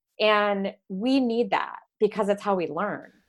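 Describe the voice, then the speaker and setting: A woman has an unremarkable speaking voice at a medium pitch with ordinary pitch variation. The recording is very clean, with a silent background. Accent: American. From Michigan, US. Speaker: horse-based coaching ranch owner. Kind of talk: casual chat.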